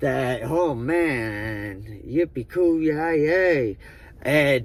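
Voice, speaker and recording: Using lively intonation, a man with an American accent speaks at a fairly high pitch. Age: 20s. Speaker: recovering addict. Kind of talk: storytelling. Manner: casual, profane.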